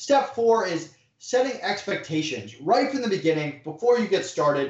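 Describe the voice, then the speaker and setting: A man talks at a moderate pace. His pitch swings very widely. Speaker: e-commerce entrepreneur. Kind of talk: interview. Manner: direct.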